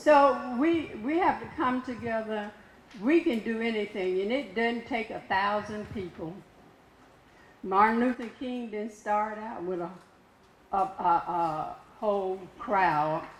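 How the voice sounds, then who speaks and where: With lively intonation, a woman talks at a very slow pace in a fairly high voice. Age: 80s+. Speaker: community member. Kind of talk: public comment at a meeting.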